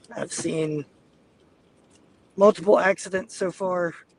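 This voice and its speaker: A man's high-pitched, fairly even voice at a very slow pace, dry and close with no echo, against noticeable background noise. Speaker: storm chaser live streamer. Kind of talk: live commentary while driving. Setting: in a car. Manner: casual, chatty.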